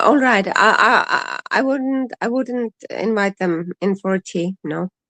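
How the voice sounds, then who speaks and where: A woman's bright, sharp, fairly high voice in an Icelandic accent, fairly slow, with ordinary pitch variation and a dry, close sound with no echo. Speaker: streamer's mother, co-host. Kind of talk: casual chat. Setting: live stream. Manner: halting.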